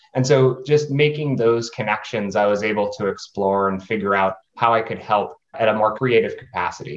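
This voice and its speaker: An ordinary speaking voice from a man with an American accent moves at a moderate pace with ordinary pitch variation. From US, New Hampshire. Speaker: philanthropist and game designer. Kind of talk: panel discussion.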